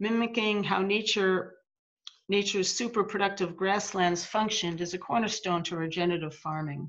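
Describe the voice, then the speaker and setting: At a moderate pace and with fairly even intonation, this is an ordinary speaking voice with an American accent. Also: woman. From US. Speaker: farmer and grazing coach. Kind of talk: reading aloud. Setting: video call.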